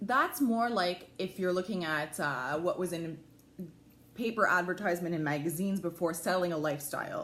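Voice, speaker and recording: A woman speaks at a moderate pace. Her voice is fairly low, with ordinary pitch variation. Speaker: lifestyle blogger. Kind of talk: livestream talk. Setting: at home, live video. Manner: loud.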